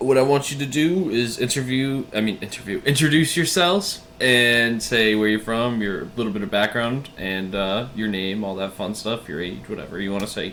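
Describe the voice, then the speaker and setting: A man with an American accent at a moderate pace, hardly any pauses, and noticeable background noise. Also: medium pitch for a man, lively intonation. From Massachusetts. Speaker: YouTube interviewer. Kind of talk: interview.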